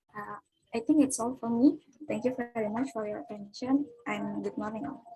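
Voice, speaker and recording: The voice moves at a fairly quick pace with big swings in loudness. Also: woman, fairly high pitch for a woman, ordinary pitch variation. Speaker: physics student presenter. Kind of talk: student presentation. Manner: reading from notes.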